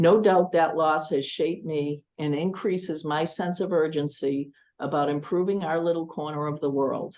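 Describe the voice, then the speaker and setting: Speaking at a moderate pace with hardly any pauses, a woman with an American accent uses a very deep, low pitch and fairly even intonation. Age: 60s. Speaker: school committee candidate. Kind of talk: candidate forum statement. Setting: public forum. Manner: formal.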